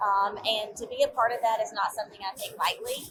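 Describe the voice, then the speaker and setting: A woman speaks at a moderate pace in a Georgia accent. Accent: Southern, Georgia. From US South, northeast Georgia mountains. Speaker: agricultural association executive. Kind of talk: interview. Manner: hesitant, many fillers.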